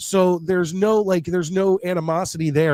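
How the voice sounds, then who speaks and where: The voice has a dry, close sound with no echo and moves at a moderate pace. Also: man. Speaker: sports talk show host. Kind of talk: casual chat. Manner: halting.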